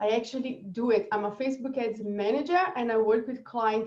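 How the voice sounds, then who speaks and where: A woman with a Brazilian accent and a dark, mellow tone. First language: Portuguese. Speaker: marketing strategist. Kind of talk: webinar presentation.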